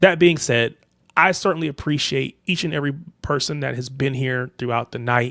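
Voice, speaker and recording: A man with an American accent has an ordinary speaking voice, talking at a moderate pace with ordinary pitch variation. The recording is very clean, with a silent background and a dry, close sound with no echo. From United States. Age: 30s. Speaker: football livestream host. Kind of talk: casual chat.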